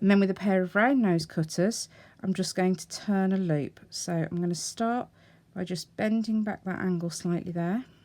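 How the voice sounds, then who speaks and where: Speaking at a moderate pace, a woman has a medium pitch and a dark, mellow tone. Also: ordinary pitch variation. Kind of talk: tutorial. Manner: casual, conversational.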